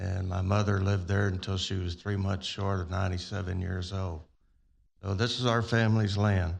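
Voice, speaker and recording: Against a quiet background, a man with a very deep, low pitch talks at a moderate pace in a monotone, flat intonation. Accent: Texan. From Texas, Pearland. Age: 70s. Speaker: resident speaking at public hearing. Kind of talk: public comment.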